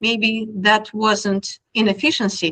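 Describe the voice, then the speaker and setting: In a strong Russian accent, a woman speaks with a bright, sharp tone at a fairly high pitch. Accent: heavy Russian. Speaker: technology speaker. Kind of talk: presentation talk.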